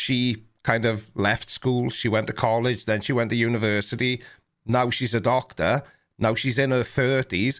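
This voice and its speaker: A man with a British accent speaks at a fairly slow pace and medium pitch. His intonation is monotone and flat, and his loudness stays very even. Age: 40s. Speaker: livestream podcast host. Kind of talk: casual chat. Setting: video call.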